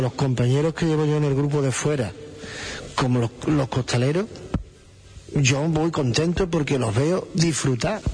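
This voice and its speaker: Pausing long and often, a man with a fairly high pitch speaks at a moderate pace with ordinary pitch variation and very even loudness, over noticeable background noise. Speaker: procession float foreman. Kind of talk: interview.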